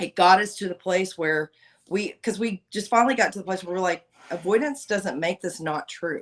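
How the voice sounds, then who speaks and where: A woman speaks loudly at a fairly low pitch. Her intonation has ordinary variation. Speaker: podcast guest. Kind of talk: casual chat.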